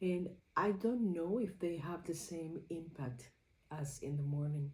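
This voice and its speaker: There is audible room echo as a woman speaks in a fairly low pitch, somewhat breathy. Her pace is fairly slow, with ordinary pitch variation. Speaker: creativity journaling vlogger. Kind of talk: personal reflection vlog. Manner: halting.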